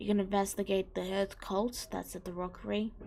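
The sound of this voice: A woman's dark, mellow voice with vocal fry, little pitch movement, and a fairly quick pace. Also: medium pitch for a woman.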